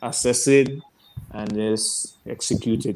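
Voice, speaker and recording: A man with a Grenadian accent, medium pitch and fairly even intonation. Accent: Grenadian Caribbean English. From Grenada. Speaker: cricketer. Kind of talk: casual chat.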